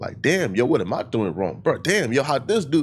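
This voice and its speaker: Using vocal fry, a man speaks at a fairly high pitch with very wide pitch swings. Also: very clean recording, silent background. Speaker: online commentator, live streamer. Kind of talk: video commentary response.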